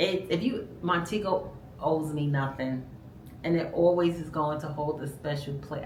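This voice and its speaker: With audible room echo, a woman speaks in an animated tone at a very deep, low pitch. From New York, Brooklyn. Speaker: vlogger. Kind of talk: casual chat.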